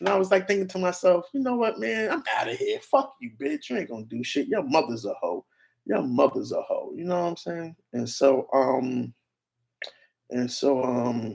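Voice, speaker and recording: A loud man with an American accent, high pitch and very wide pitch swings at a moderate pace. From New York. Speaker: YouTube streamer. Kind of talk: livestream rant. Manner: animated.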